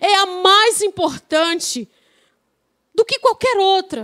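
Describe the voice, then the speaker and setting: In a Paraíba accent, a woman talks at a very slow pace with lively intonation and an extremely high pitch. The sound is dry and close, with no echo. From Paraíba, Brazil. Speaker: guest preacher. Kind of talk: sermon. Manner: drawn-out words at times.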